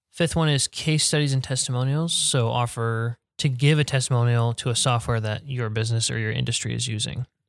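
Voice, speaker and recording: With an ordinary speaking voice, a man talks at a fairly quick pace and medium pitch, with fairly even intonation and hardly any pauses. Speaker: podcast co-host. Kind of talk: casual chat.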